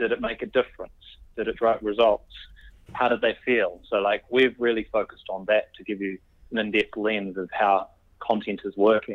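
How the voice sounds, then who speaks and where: This man has a New Zealand accent. He talks at a moderate pace. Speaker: company CEO. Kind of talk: interview. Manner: halting, with frequent repetitions.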